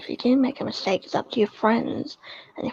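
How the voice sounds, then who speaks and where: Quiet and very fast, a woman talks over noticeable background noise. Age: young. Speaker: livestream guest. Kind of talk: casual chat. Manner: quiet, hushed.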